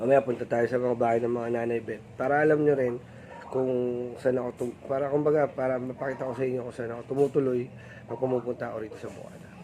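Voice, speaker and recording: Very fast, flat, monotone speech with big swings in loudness over noticeable background noise. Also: man, medium pitch for a man. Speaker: vlogger. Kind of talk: casual vlog chat.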